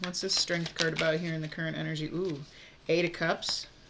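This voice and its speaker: Speaking at a fairly quick pace, this woman has a fairly low pitch and an American accent. Noticeable background noise sits under her voice. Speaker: tarot reader. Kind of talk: tarot reading. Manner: casual, halting with fillers.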